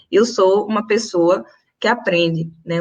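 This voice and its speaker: A woman's voice with ordinary pitch variation. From Brazil, Recife (Pernambuco, Northeast). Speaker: teacher and activist. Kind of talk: panel talk in a live stream. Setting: online live stream.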